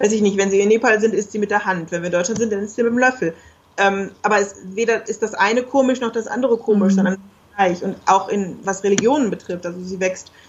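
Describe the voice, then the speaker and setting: Talking at a very fast pace, a woman uses a medium pitch and fairly even intonation. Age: 30s. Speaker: geographer and single mother. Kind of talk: interview.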